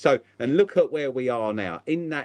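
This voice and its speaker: In a southeast English accent, a man talks at medium pitch, the sound dry and close with no echo. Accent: south-east English. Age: 50s. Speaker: aquarium shop owner. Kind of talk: casual chat. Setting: live stream.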